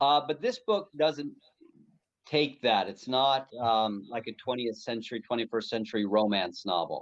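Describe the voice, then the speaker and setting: This is a plain, everyday voice with an American accent, speaking at a moderate pace with ordinary pitch variation. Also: man. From United States. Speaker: pastor and author. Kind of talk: interview conversation.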